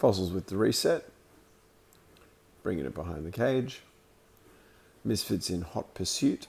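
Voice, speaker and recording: A man with an Australian accent speaks at a very deep, low pitch, somewhat breathy. His pace is fairly slow, with long, frequent pauses. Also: lively intonation. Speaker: amateur sports commentator and streamer. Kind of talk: live commentary; casual chat. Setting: roller skating rink. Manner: halting, filler words.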